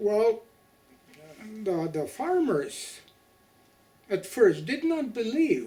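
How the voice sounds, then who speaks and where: With noticeable background noise behind him, a man speaks at a very slow pace with long, frequent pauses, a high pitch, and very wide pitch swings. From Ukraine. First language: Ukrainian. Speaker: Holodomor survivor. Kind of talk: testimony. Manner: halting.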